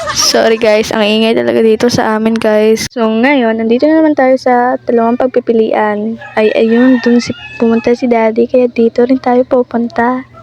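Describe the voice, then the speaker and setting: With music in the background, a woman talks at a moderate pace in a fairly high pitch, her intonation monotone and flat, her loudness very even, with hardly any pauses and a dry, close sound with no echo. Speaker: gaming youtuber. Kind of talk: gameplay commentary.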